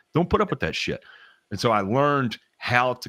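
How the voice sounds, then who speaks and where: A man with a Southern US accent at a very fast pace with lively intonation, on a very clean recording with a silent background. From US South. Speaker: lawn care professional. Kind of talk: casual chat. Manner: halting, many restarts.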